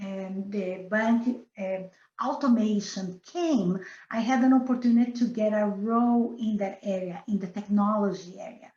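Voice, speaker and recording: A woman with a Brazilian accent speaks at a fairly slow pace and a fairly high pitch. Her tone is dark and mellow, and somewhat breathy. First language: Portuguese. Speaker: business director. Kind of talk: interview. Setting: podcast. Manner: halting.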